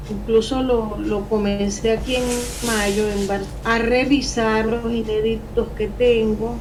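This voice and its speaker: A woman at a fairly high pitch and a very slow pace, her intonation monotone and flat, with audible room echo and noticeable background noise. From Venezuela. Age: 60s. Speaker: poet and novelist. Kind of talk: interview. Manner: halting.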